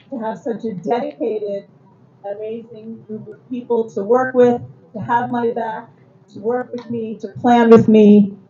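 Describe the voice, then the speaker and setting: Over noticeable background noise, the woman's voice shows ordinary pitch variation. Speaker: religious school education director. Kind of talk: speech at temple awards event. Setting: temple service with audience. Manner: loud.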